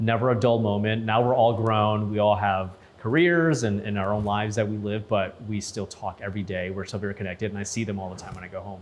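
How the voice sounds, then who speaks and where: A man with an American accent talks at a very fast pace with hardly any pauses. His pitch is fairly low and his intonation fairly even. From Saint Paul, Minnesota. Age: 30s. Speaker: news anchor. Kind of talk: interview testimony. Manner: casual, repetitive with restarts.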